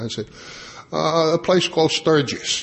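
A man with an American accent against noticeable background noise. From New York, Long Island. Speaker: AA convention speaker. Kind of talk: conference talk to audience.

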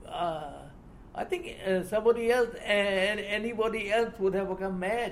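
Against noticeable background noise, a speaker with a Burmese accent talks at a moderate pace with fairly even intonation. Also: man. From Burma, Shan State. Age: 80s+. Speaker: retired army officer. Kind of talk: life-story interview. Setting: hotel meeting.

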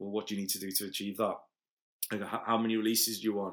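In a Liverpool accent, a man talks with fairly low pitch and monotone, flat intonation on a very clean recording with a silent background. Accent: Liverpool (Scouse). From Liverpool, England. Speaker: events promoter. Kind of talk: casual interview. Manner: halting, many fillers and repeats.

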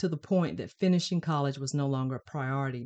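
With an American accent, a woman speaks at a very deep, low pitch, the sound dry and close with no echo over a quiet background. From US South, Shelby, North Carolina. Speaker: podcast host, faith and self-love coach. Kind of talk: solo podcast monologue, personal testimony.

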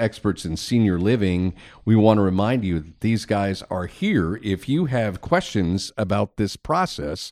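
The background stays quiet. A normal speaking voice talks at a moderate pace with ordinary pitch variation. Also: man. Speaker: podcast host. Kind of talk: podcast interview.

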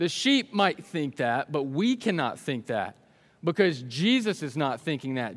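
Recorded very cleanly against a silent background, a man talks at a fairly slow pace with very wide swings in pitch. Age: 20s. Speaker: youth pastor. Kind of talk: sermon. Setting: stage with audience. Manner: animated.

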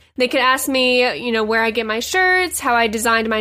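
With a raised, projected voice, a woman speaks at a moderate pace in a bright, sharp, animated tone. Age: 20s. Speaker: podcast host and small business owner. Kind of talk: casual solo podcast monologue.

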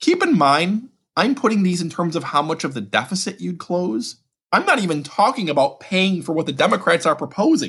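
On a very clean recording with a silent background, a man talks at a fairly quick pace in a high pitch with very wide pitch swings. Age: 40s. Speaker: budget policy expert. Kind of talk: interview. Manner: halting, frequent repetitions.

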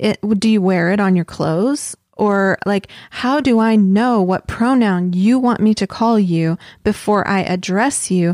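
A woman with a plain, everyday voice talks at a fairly slow pace and medium pitch, her pitch varying in an ordinary way. Her loudness stays very even, and the recording is very clean with a silent background. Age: 40s. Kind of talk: casual religious chat.

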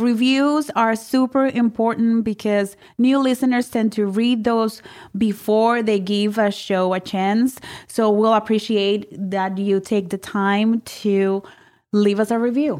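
A woman talks very slowly with a fairly high pitch. Her loudness stays very even and her intonation fairly even. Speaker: podcast host. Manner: adds energy deliberately.

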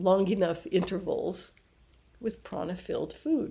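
A woman's medium-pitched voice with vocal fry, at a fairly slow pace. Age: 60s. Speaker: yoga and Ayurveda teacher. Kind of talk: podcast monologue.

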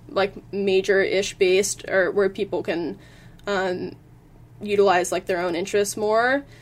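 A woman speaks at a moderate pace in a normal speaking voice, medium in pitch, with an American accent. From Virginia, US. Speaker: engineering student. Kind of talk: interview.

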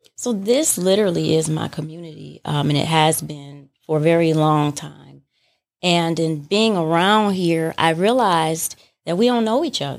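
A woman with an American accent and an unremarkable speaking voice talks at a moderate pace, fairly low in pitch with ordinary variation. The recording is very clean, with a silent background. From Detroit. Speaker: coffee shop owner. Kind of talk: interview.

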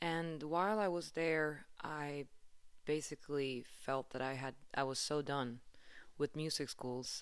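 In a Swedish accent, a woman with a very deep, low pitch speaks at a very slow pace with ordinary pitch variation. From Sweden, Stockholm. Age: 30s. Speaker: podcast host and musician. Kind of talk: solo podcast monologue.

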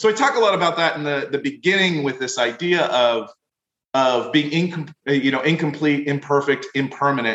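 A man speaks at a moderate pace with an American accent and ordinary pitch variation. He has a plain, everyday voice. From Pennsylvania, US (Wilkes-Barre). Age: 40s. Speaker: leadership professor and author. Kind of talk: interview podcast.

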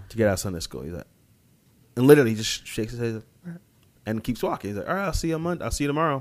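A man with an American accent, medium in pitch, with very wide pitch swings. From US Midwest (Columbia, Missouri). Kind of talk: casual interview chat.

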